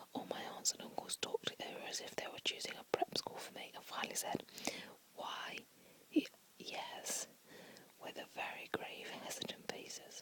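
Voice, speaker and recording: Whispering at a moderate pace with long, frequent pauses, the voice comes through over noticeable background noise. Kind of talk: whispered book reading for relaxation. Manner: whispered, soft.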